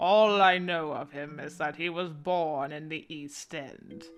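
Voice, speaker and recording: A quiet, put-on character voice sits at a middle pitch. It moves at a fairly slow pace. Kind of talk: archaic formal speech. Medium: game stream. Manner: calm, cold, formal.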